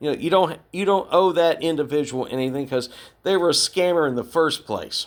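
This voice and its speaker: In a very clean recording with a silent background, a man with an American accent talks at a moderate pace in an unremarkable speaking voice, fairly high in pitch with ordinary pitch variation. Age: 60s. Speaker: podcast host, retired navy veteran. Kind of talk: podcast monologue. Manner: conversational.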